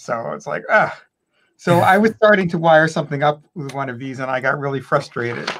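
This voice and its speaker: With an ordinary speaking voice, a man talks at a fairly quick pace, his intonation lively and his loudness swinging widely. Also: fairly high pitch for a man. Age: 60s. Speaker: hobbyist maker. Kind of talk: project demo.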